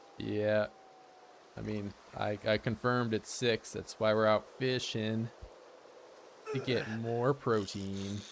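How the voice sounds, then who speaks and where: A man with a fairly low voice, very slow and monotone, with flat intonation and long, frequent pauses. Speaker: gaming streamer. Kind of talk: casual chat.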